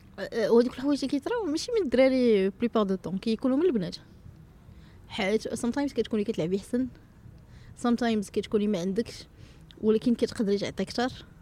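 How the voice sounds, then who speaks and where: Fairly quick and fairly high-pitched, a woman speaks in an ordinary speaking voice with ordinary pitch variation. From Morocco, Salé. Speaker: American football coach and social entrepreneur. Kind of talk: casual interview.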